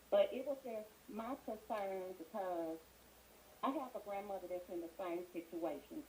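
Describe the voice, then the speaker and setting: Soft-spoken and medium-pitched, a woman talks at a fairly slow pace with ordinary pitch variation against noticeable background noise. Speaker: caller. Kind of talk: call-in show. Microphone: too quiet at first.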